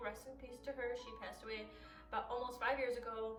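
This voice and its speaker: A woman with an American accent, high pitch and animated tone, amid noticeable background noise and audible room echo. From US, Chaldean-Iraqi family. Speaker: YouTuber, blind college student. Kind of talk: personal vlog monologue.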